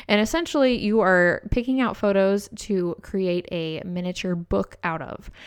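An ordinary speaking voice from a woman at medium pitch, fairly slow pace, hardly any pauses, ordinary pitch variation, quiet background. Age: 20s. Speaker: podcast co-host, photographer. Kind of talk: casual chat.

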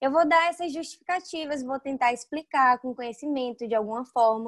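In a dry, close recording with no echo and a quiet background, a woman speaks with ordinary pitch variation. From Bahia, Brazil. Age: 20s. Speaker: wedding and family photographer. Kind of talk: interview.

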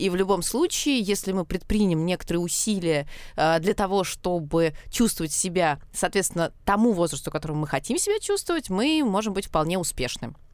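A woman's normal speaking voice at a medium pitch, with lively intonation and a moderate pace, on a very clean recording with a silent background. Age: 30s. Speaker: cultural studies scholar, podcast co-host. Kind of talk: casual chat. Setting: studio.

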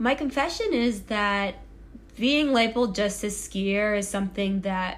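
A woman with an American accent talks at a fairly slow pace in an unremarkable speaking voice, medium in pitch with ordinary pitch variation. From Massachusetts, near Boston. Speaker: Olympic skier. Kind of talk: casual chat. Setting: at home in apartment.

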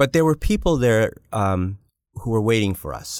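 With ordinary pitch variation and a moderate pace, an unremarkable speaking voice comes through on a very clean recording with a silent background. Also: man. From Canada. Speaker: hospital executive. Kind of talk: interview.

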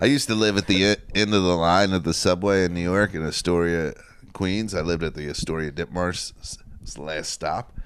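At a fairly quick pace, a man speaks with a very deep, low pitch and ordinary pitch variation. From Northern Kentucky, near Cincinnati. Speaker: comedian. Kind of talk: casual chat.

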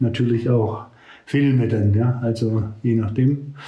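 A man at medium pitch talks at a fairly slow pace with monotone, flat intonation. Audible room echo surrounds his voice. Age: 70s. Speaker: retired pastor. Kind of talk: casual chat.

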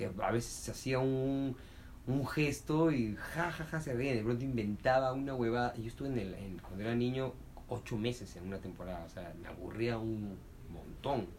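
Audible room echo colors the voice of a man speaking at a medium pitch. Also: ordinary pitch variation, moderate pace. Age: 30s. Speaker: comedian. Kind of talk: interview.

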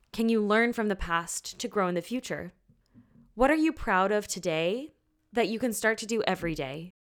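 In a very clean recording with a silent background, a woman with a plain, everyday voice speaks at a moderate pace and a fairly high pitch. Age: 20s. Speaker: podcast co-host, singer. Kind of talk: casual chat.

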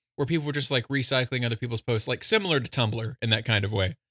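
A man talks in a plain, everyday voice at medium pitch, with ordinary pitch variation. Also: dry, close sound with no echo. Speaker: podcast guest. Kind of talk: casual chat.

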